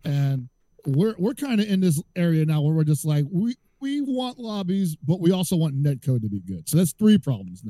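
Loud and dry, with a close sound and no echo, a man's dark, mellow voice makes very wide pitch swings at a moderate pace. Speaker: fighting game commentator. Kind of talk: casual chat.

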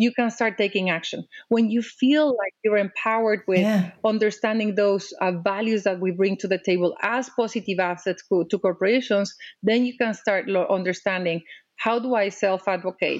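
A woman with a Mexican accent at medium pitch and moderate pace, very even loudness, quiet background. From Mexico. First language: Spanish. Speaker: diplomat and advocate. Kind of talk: interview. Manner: animated.

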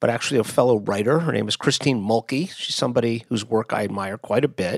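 Speaking fairly quickly with an American accent, a man uses a medium pitch, ordinary pitch variation and vocal fry, in a dry, close sound with no echo. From US, Miami, Florida. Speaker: podcast host. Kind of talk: podcast intro monologue. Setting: nephew's bedroom, relative's home. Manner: speaking somewhat quieter than usual.

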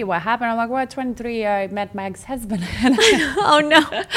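Lively intonation colors a woman's speech in a Russian accent. She keeps a moderate pace over noticeable background noise. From Russia, Moscow. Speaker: former model, real estate agent. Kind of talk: casual interview.

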